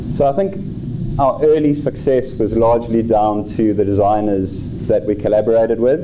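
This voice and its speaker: A man's medium-pitched voice at a moderate pace, with ordinary pitch variation, very even loudness and hardly any pauses, over noticeable background noise. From South Africa. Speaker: tech company co-founder, conference speaker. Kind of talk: presentation. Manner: halting, many fillers.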